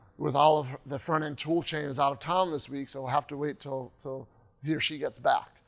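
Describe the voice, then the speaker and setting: A man with a fairly high voice speaks in a fairly even tone against a quiet background. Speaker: conference speaker, web developer and trainer. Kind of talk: conference talk. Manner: fast.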